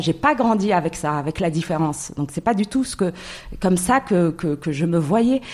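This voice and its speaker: A woman at medium pitch speaks at a moderate pace, her pitch swinging very widely. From Morocco. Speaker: entrepreneur. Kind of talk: interview.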